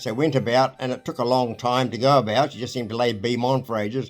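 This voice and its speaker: Over music in the background, a man with a New Zealand accent speaks very fast at a medium pitch with fairly even intonation. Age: 80s+. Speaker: retired marine engineer. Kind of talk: interview storytelling. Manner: halting.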